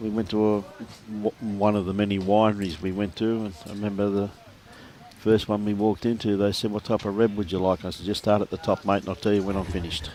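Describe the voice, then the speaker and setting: A man with an Australian accent speaks very fast in a flat monotone over noticeable background noise. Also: fairly low pitch for a man. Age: 60s. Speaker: lawn bowls commentator. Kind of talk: live sports commentary. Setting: livestream at a bowls club. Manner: casual, bantering.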